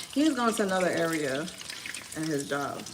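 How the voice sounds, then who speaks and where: With an American accent and lively intonation, a woman talks over noticeable background noise, her voice carrying an audible room echo. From Miami. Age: 40s. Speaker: lifestyle vlogger. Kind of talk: casual chat while cooking on livestream. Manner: loud.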